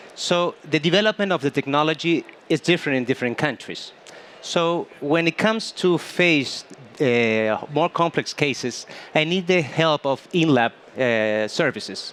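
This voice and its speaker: At a moderate pace, a man speaks with a fairly high pitch and lively intonation. The sound is dry and close with no echo, and his loudness stays very even. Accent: Spanish. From Chile. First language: Spanish. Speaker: dentist. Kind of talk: panel interview. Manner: halting.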